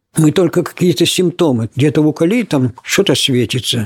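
With a dry, close sound and no echo, a man with a fairly high pitch makes very wide pitch swings. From Odessa, Ukraine. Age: 80s+. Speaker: military scientist and inventor. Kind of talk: interview, life story.

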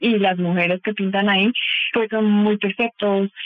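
A woman's fairly high-pitched voice, with typical pitch movement, comes through noticeable background noise. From Bolivia. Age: 30s. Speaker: psychotherapist and clinical sexologist. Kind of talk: interview answers.

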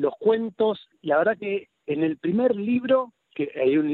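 In a Rosario accent, a man speaks with ordinary pitch variation. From Argentina, Rosario then Buenos Aires. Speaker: pediatrician and writer. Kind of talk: radio interview. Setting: at home, remote interview.

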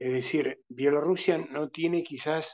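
An unremarkable speaking voice talks at a fairly slow pace with ordinary pitch variation, the sound dry and close with no echo. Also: man. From Argentina. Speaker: international analyst. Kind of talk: interview.

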